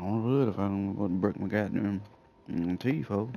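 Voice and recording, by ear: A man with a dark, mellow tone, fairly low pitch, vocal fry and a moderate pace. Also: ordinary pitch variation.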